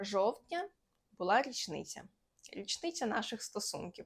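A fairly high-pitched woman's voice with a Russian accent and very wide pitch swings, on a very clean recording with a silent background. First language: Russian (speaking Ukrainian). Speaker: lifestyle vlogger. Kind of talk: casual haul vlog.

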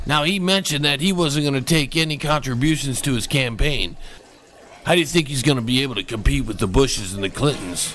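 A man talks at a very fast pace in a fairly high pitch with lively intonation. Noticeable background noise is present. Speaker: comedian. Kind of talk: mock news anchoring.

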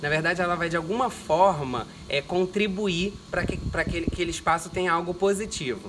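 There is noticeable background noise in this recording. A man speaks at a moderate pace. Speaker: guest. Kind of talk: interview answer. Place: garden. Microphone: camera far.

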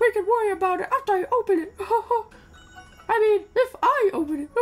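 This put-on character voice is squeaky and extremely high in pitch, moving at a fairly quick pace. Faint music plays in the background.

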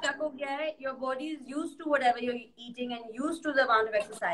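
With noticeable background noise behind her, a woman talks very fast at a high pitch, using ordinary pitch variation. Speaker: fitness guest on live. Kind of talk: casual live-stream chat. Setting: video call. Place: home room. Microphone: video call.

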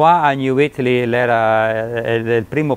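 A man talks with ordinary pitch variation against light background noise. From Australia. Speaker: museum manager. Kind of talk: documentary interview answer. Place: hall. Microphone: lapel.

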